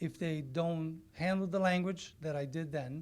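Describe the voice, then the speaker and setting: A man speaks in a Portuguese accent with a high pitch for a man. His pace is moderate and his intonation fairly even. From Brazil. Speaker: community organization member. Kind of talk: public comment speech.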